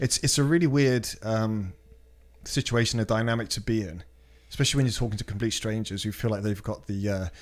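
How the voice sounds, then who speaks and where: A man with a British accent talks at a fairly quick pace and medium pitch, with ordinary pitch variation, on a very clean recording with a silent background. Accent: British, sounds posh and well-spoken. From Britain. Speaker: podcast guest. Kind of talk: casual chat. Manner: articulate, well-spoken.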